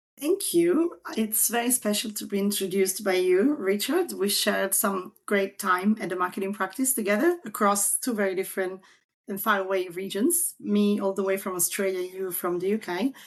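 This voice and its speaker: A woman's medium-pitched voice in a strong Italian accent, moderate in pace with ordinary pitch variation and hardly any pauses, against a quiet background. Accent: Italian, still strong. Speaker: marketing consultant. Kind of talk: podcast interview.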